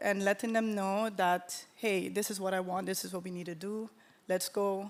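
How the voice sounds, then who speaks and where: Someone with a Caribbean accent speaks at a moderate pace in a monotone, flat intonation on a very clean recording with a silent background. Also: woman, medium pitch for a woman. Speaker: panelist, creative entrepreneur. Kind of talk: live panel discussion. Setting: stage with live audience.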